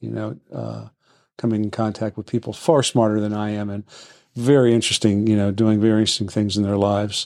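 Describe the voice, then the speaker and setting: A man with a plain, everyday voice, fairly low in pitch, at a fairly quick pace with fairly even intonation, in a dry, close sound with no echo and a very clean recording with a silent background. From Washington DC area. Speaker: real estate broker. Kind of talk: casual chat.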